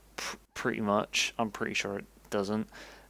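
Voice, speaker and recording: At a moderate pace, a man speaks with an English accent. The recording is very clean, with a silent background. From England. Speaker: game developer streamer. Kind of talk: casual live stream talk while programming. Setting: live stream. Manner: halting, fumbling words.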